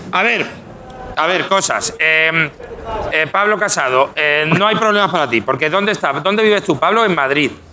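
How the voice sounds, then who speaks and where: This man's high-pitched voice moves at a moderate pace, with very even loudness and lively intonation. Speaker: comedian street reporter. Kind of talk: comedic live street segment. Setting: outdoors on the street.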